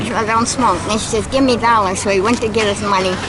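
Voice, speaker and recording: A woman's pitch varies in an ordinary way while noticeable background noise plays behind her. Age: 80s+. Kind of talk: casual storytelling conversation. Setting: outdoors.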